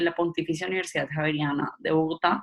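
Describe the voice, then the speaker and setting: An ordinary speaking voice from a woman, fairly low-pitched, at a moderate pace with fairly even intonation. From Colombian Caribbean coast, Barranquilla. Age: 20s. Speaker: political scientist, trainer. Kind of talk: lecture.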